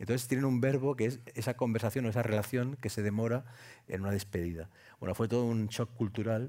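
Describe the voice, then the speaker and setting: The speech comes at a very fast pace with very even loudness and fairly even intonation. The tone is dark and mellow. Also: man, medium pitch for a man, very clean recording, silent background. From Spain, Andalusian family roots. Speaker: writer and columnist. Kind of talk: live podcast panel discussion. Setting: stage with live audience.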